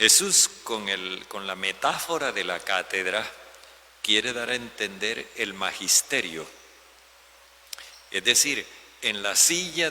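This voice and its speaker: A man with a fairly low voice speaks very slowly, his intonation lively, over noticeable background noise. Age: 70s. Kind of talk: homily.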